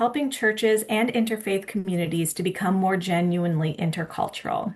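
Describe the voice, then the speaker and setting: A woman speaks with a Midwestern American accent. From US Midwest. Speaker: theology professor. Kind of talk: webinar presentation. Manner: halting, many fillers.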